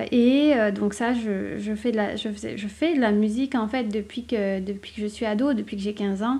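The woman's voice is fairly high, her speech fairly slow and her pitch variation ordinary. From southern France. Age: 30s. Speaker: author and podcaster. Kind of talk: casual solo podcast monologue. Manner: hesitant, many fillers.

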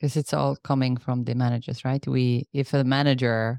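A woman with a non-native accent speaks at a fairly quick pace, her pitch very deep and low and her tone dark and mellow. Her intonation is fairly even, and the sound is dry and close with no echo. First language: not English. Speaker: podcast host. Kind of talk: casual interview chat.

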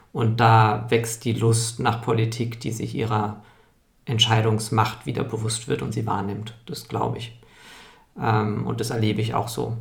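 Audible room echo surrounds a man speaking at medium pitch. His intonation is monotone and flat, and his pace fairly slow. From Munich, Bavaria. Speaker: strategist and organisational consultant. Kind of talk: interview. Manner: halting, many filler sounds.

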